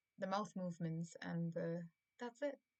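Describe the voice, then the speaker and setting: A woman with a fairly low pitch speaks at a fairly slow pace, sounding somewhat breathy. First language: Malayalam. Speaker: YouTuber. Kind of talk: casual monologue. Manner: halting.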